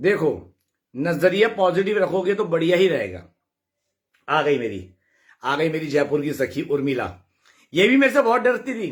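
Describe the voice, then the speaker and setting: Loud and animated, a man speaks at a high pitch with very wide pitch swings and long, frequent pauses. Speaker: devotional live streamer. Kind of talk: casual live chat reading comments.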